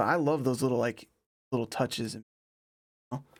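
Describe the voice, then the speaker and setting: Soft-spoken, a man talks at a fairly quick pace with a medium pitch and fairly even intonation. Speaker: electronic music producer. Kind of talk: live production stream tutorial. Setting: home studio live stream. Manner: soft-spoken while working; casual.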